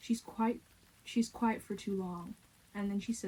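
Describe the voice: This clip offers plain reading aloud, and the intonation is fairly even.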